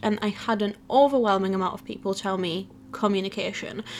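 A woman speaks at a medium pitch over noticeable background noise. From Poland. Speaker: YouTuber and podcast host. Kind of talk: solo podcast monologue. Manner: talkative, animated.

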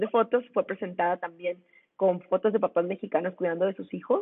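A woman talks in a plain, everyday voice at a medium pitch. Her pace is fairly quick and her pitch variation ordinary. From Mexico, Monclova (Coahuila). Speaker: lawyer and women's rights activist. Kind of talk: interview.

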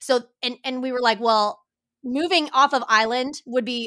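In a very clean recording with a silent background, a woman with an American accent speaks at a moderate pace in a bright, sharp, animated tone with ordinary pitch variation. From Kansas. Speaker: photographer and mother. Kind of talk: casual chat.

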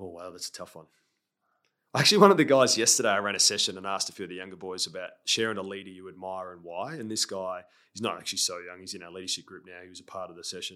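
At a very fast pace, a man with an Australian accent speaks in a fairly low, bright, sharp tone with ordinary pitch variation and big swings in loudness, on a very clean recording with a silent background. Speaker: former pro footballer, leadership coach. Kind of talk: interview conversation. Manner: sometimes fast.

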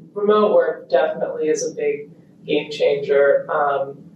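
The woman's voice carries audible room echo, with noticeable background noise as well. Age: 20s. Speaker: equestrian rider. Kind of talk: interview.

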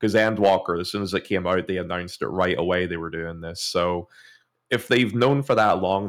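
With an Irish accent, a man speaks at a moderate pace in a very deep, low pitch, his intonation monotone and flat, on a very clean recording with a silent background. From Ireland. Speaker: gaming content creator. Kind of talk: casual chat.

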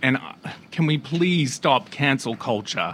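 This man has an Australian accent. His intonation rises and falls in a lively way. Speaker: guest co-host. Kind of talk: casual comedic chat.

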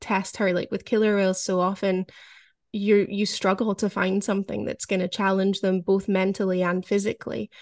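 A woman speaks with a Scottish accent at a medium pitch, her intonation monotone and flat, over a quiet background. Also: dry, close sound with no echo. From Scotland. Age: 30s. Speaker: author and former orca trainer. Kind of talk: interview conversation.

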